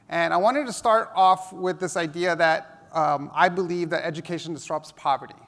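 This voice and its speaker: With a New York accent, a man talks at a high pitch and a moderate pace, with ordinary pitch variation. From New York City (Hell's Kitchen), US. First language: Spanish. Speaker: education technology speaker. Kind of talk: conference talk.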